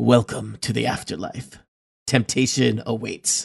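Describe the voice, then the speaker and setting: Using a put-on character voice, a man speaks raspy at a medium pitch and a fairly slow pace. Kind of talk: ominous proclamation. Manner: solemn, intoning.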